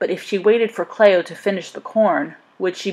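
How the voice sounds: The voice reads naturally. Its intonation stays fairly even.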